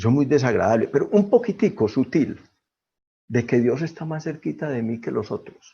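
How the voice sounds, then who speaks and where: A man with a fairly high pitch and a dark, mellow, somewhat breathy tone speaks at a moderate pace with very wide pitch swings, over a quiet background. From Colombia. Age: 60s. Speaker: twelve-step fellowship member. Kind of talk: testimony.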